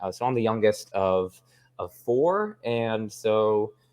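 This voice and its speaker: The man's medium pitch moves with lively intonation. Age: 20s. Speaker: philosophy YouTuber. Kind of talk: casual interview chat. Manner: fast; halting, many fillers.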